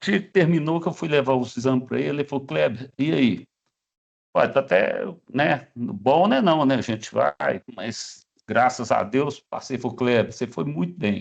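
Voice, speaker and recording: A man with a medium pitch and vocal fry talks at a fairly slow pace with lively intonation. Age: 60s. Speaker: cancer survivor. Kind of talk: testimony.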